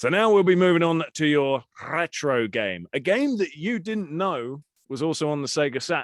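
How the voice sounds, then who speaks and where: A man's fairly high voice with a British accent, lively intonation and a moderate pace. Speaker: podcast host. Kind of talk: casual chat.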